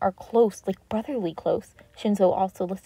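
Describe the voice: Simple, plain reading aloud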